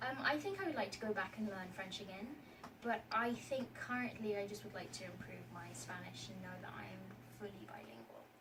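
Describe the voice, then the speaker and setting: Against noticeable background noise, a woman talks at a fairly quick pace with big swings in loudness. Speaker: beauty pageant contestant. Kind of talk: radio interview answer.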